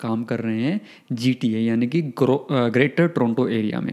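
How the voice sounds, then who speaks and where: A man with a slight Haryanvi accent and ordinary pitch variation. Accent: slight Haryanvi touch in Hindi. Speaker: podcast host. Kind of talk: podcast interview; scripted intro.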